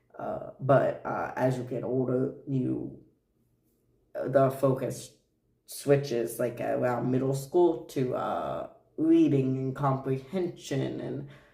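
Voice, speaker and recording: Very slowly, a man speaks at a medium pitch with a dark, mellow tone, somewhat breathy, with ordinary pitch variation and audible room echo. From Japan, Tokyo. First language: Japanese. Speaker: streamer. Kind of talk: casual chat. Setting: live stream. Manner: halting.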